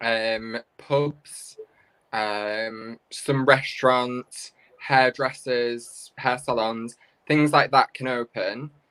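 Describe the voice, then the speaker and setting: Delivery is very slow. A British accent carries the words. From northern England, Manchester. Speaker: drag performer. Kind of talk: casual chat. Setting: video call from a friend's apartment.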